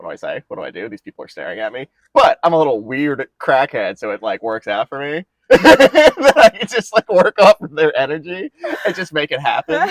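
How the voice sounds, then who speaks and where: A man talks at a fairly quick pace, his loudness swinging widely. The sound is dry and close, with no echo. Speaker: bartender. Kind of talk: casual chat. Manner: fast.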